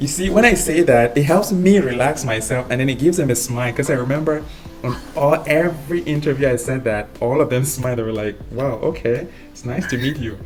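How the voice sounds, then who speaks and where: Medium-pitched man at a fairly quick pace, ordinary pitch variation, noticeable background noise. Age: 30s. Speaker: physician mentoring IMG applicants. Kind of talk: webinar Q&A advice. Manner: confident, upbeat.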